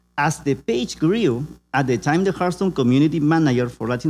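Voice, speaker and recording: A man speaks with a Peruvian accent at a fairly high pitch, his tone dark and mellow. The recording is very clean, with a silent background. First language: Spanish. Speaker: community organizer and meme creator. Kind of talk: conference presentation. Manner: halting.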